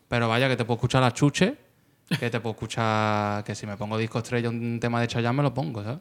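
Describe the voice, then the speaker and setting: On a very clean recording with a silent background, a man talks at a very fast pace in a medium pitch with fairly even intonation. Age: 30s. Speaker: rapper and online video comedian. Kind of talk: casual chat.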